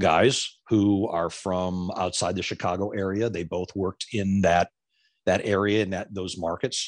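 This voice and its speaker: With an American accent, a man with a fairly low pitch uses an unremarkable speaking voice and fairly even intonation against a quiet background. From Florida. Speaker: former TV news anchor and reporter, now podcaster. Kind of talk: casual interview chat.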